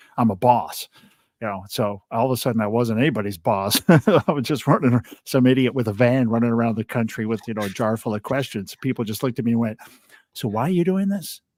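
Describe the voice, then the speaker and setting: Talking at a very fast pace, a man with a medium pitch comes through in a dry, close sound with no echo. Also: ordinary pitch variation, very clean recording, silent background. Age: 60s. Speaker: podcast host, former insurance executive. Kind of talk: casual interview conversation.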